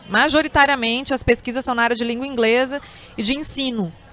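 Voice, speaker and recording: A woman with a high pitch speaks with music in the background. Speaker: professor and interviewer. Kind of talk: interview.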